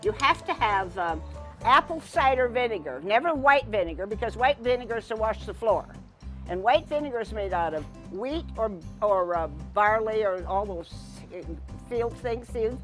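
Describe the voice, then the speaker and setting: There is music in the background. Over it, a woman speaks at a moderate pace. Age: 80s+. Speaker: farmer. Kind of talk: interview answer.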